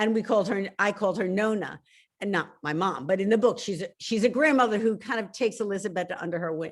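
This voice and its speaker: On a very clean recording with a silent background, the talking goes at a fairly quick pace. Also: woman. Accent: Philadelphia. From Philadelphia, US. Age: 60s. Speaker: novelist. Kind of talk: interview.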